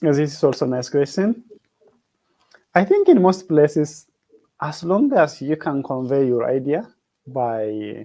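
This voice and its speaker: Lively intonation colors a voice with a dark, mellow tone. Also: man. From Ethiopia. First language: not English (English is his third language). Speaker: PhD student, veterinarian. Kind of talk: interview. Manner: halting, many fillers.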